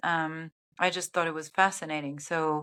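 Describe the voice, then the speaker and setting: In a very clean recording with a silent background, a woman speaks with a German accent. Her fairly low pitch has a bright, sharp tone and a monotone, flat intonation. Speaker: TV sports broadcast producer and director. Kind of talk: interview. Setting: podcast interview. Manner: hesitant, many fillers.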